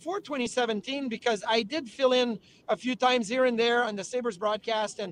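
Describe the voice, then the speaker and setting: In a French-Canadian accent, a man speaks at an extremely high pitch, with a dry, close sound and no echo. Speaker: former hockey player and TV hockey analyst. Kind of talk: interview. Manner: fast.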